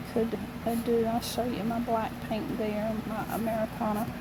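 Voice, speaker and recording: A woman speaks at a moderate pace in a fairly high pitch, with audible room echo and noticeable background noise. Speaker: amateur painter, channel owner. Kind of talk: painting tutorial. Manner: casual, chatty with fillers.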